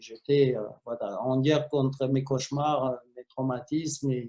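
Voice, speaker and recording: A man speaks in a somewhat breathy, fairly high voice with a dark, mellow tone. His intonation is monotone and flat, his pace moderate. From Romania. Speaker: film director. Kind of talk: interview. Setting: video call.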